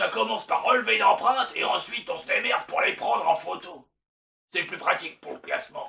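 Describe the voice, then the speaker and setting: A man's cartoonish character voice, high-pitched and fairly quick. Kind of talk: comedic puppet monologue to a therapist. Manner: crude, boastful.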